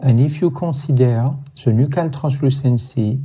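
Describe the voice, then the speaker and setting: Speaking at a fairly slow pace, a man with a medium-pitched, somewhat breathy voice and a dark, mellow tone keeps his intonation fairly even amid audible room echo. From France. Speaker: medical lecturer on fetal ultrasound. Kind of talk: lecture. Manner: halting.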